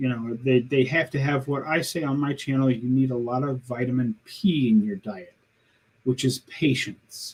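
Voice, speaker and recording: A somewhat breathy man's voice at medium pitch. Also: ordinary pitch variation, moderate pace. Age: 60s. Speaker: carnivore diet YouTuber. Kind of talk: interview. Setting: live stream.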